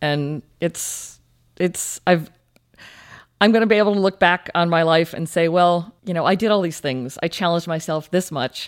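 A woman's fairly low-pitched, unremarkable speaking voice with ordinary pitch variation, on a very clean recording with a silent background. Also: moderate pace. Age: 40s. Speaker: ultramarathon runner with MS. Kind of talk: interview.

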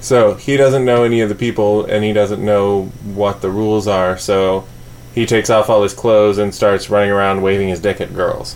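There is noticeable background noise behind this speaker. He is a man with a fairly low pitch. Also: fairly even intonation, moderate pace. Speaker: podcast co-host. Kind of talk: casual chat. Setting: home studio. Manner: quiet.

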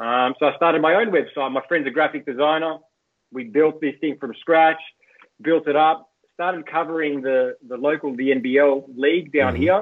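At a moderate pace, a man with an Australian accent talks in a fairly high pitch. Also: ordinary pitch variation. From Australia, Greek heritage. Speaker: sports journalist. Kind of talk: casual interview chat. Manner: animated.

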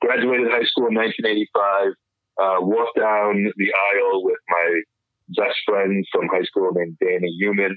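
A man with a New York accent, his loudness very even. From New York City, Upper East Side. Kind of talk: interview.

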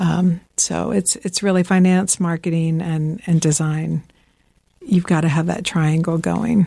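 A woman's fairly low, somewhat breathy voice in an American accent, dark and mellow in tone, at a fairly slow pace with fairly even intonation. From Georgia, US South. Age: 50s. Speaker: fashion designer and company founder. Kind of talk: interview. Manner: hesitant, frequent fillers.

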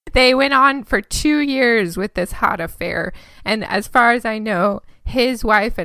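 A woman's bright, sharp voice with vocal fry and an American accent. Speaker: true crime podcast co-host. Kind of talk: casual chat.

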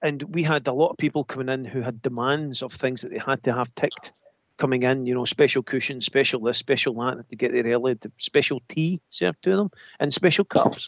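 In a Scottish accent, a man talks at a fairly quick pace with an animated, enthusiastic tone and ordinary pitch variation. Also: medium pitch for a man. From Scotland. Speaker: spiritualist medium. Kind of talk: casual chat.

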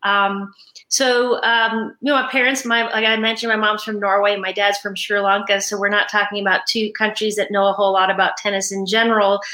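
With an American accent, a woman talks at a fairly quick pace with hardly any pauses. Her medium-pitched voice has a bright, sharp tone and a monotone, flat intonation. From New York. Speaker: former tennis player and college coach. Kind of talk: interview.

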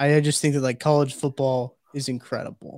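A man at a fairly quick pace, flat and monotone, with a dry, close sound, no echo, and a very clean recording over a silent background. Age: 20s. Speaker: podcast producer and Missouri fan. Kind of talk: casual chat.

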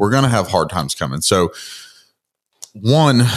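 A man talks with an American accent. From US South, Georgia (Lawrenceville area). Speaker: motivational speaker and bodybuilder. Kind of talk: interview, life story.

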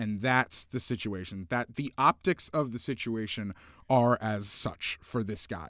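A man's unremarkable speaking voice, medium in pitch with ordinary pitch variation at a fairly slow pace, dry and close with no echo on a very clean recording with a silent background. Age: 20s. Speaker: sports writer. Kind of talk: casual chat. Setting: studio.

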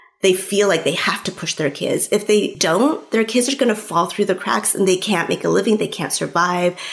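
A woman with a medium pitch talks at a moderate pace with ordinary pitch variation and hardly any pauses, against noticeable background noise. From California, US. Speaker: author. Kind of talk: interview.

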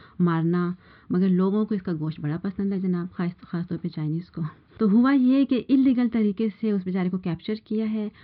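With ordinary pitch variation, a woman speaks in a plain, everyday voice. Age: 50s. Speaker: housewife with biochemistry degree. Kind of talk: panel discussion.

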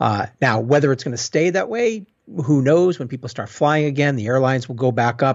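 A man's normal speaking voice with an American accent, medium in pitch, with ordinary pitch variation and a fairly quick pace. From Boston, US. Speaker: innovation consultant and author. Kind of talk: interview.

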